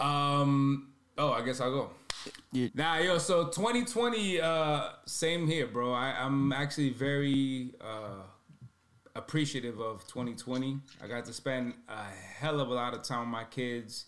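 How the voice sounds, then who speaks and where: Speech unfolds at a fairly slow pace. The pitch varies in an ordinary way. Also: man, fairly high pitch for a man. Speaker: podcast co-host and rapper. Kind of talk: casual chat. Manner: sometimes quiet.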